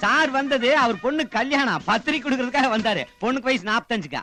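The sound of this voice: A man uses a put-on character voice, extremely high-pitched with a bright, sharp tone. He speaks fast over faint background music. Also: lively intonation.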